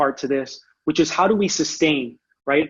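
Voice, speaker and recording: In a Spanish accent, a man talks at a fairly quick pace. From Orlando, Florida (born in Puerto Rico). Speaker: education presenter, academic. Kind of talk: conference presentation. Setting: online video presentation with screen share. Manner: halting, many repetitions and fillers.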